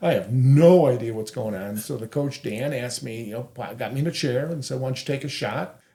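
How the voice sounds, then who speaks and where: Somewhat breathy with a dark, mellow tone, a man of medium pitch speaks at a fairly quick pace with ordinary pitch variation. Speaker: co-founder of adaptive sports group, wheelchair basketball player. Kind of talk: interview conversation.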